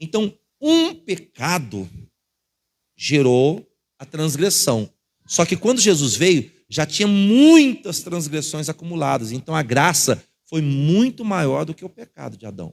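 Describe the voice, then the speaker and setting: At a very slow pace, a man with a Brazilian accent and fairly high pitch talks with very wide pitch swings and big swings in loudness. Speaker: pastor. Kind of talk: sermon.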